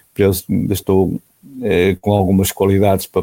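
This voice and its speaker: The voice has a dark, mellow tone, captured with a dry, close sound with no echo. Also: man. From northern Portugal, Porto. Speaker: motorsport club president and former racing driver. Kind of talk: interview. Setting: remote call.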